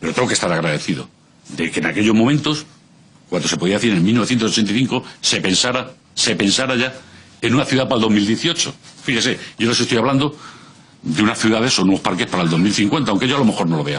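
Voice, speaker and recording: With very even loudness and lively intonation, a man talks at a very fast pace and medium pitch. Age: 60s. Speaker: civic association representative. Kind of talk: parliamentary testimony. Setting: regional parliament committee hearing.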